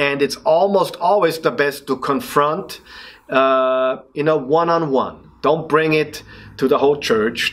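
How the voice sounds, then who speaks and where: Fairly slow, fairly high-pitched speech from a man with an Austrian accent. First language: German. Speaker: leadership speaker and coach. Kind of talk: motivational podcast talk. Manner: passionate; halting.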